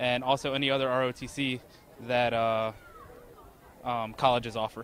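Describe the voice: A man speaks at medium pitch with an American accent. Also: fairly bright tone.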